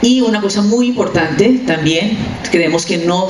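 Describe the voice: A woman at a moderate pace, her intonation fairly even, over clear background noise.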